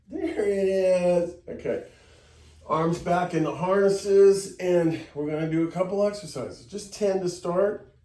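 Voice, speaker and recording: Over noticeable background noise, a man with an American accent speaks at a fairly slow pace and a high pitch. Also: long, frequent pauses. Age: 60s. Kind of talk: tutorial.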